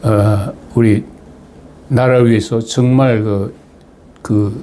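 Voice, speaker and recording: Monotone, flat intonation from a man at a medium pitch and a very slow pace. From Chungcheong, South Korea (Asan, Daejeon). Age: 80s+. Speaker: retired diplomat, political commentator. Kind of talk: personal talk to viewers. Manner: halting, many fillers.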